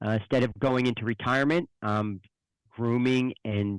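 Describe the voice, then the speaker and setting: At a fairly slow pace, a man with a New Jersey accent talks at a medium pitch with fairly even intonation, the sound dry and close with no echo on a very clean recording with a silent background. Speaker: financial advisor. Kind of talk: interview.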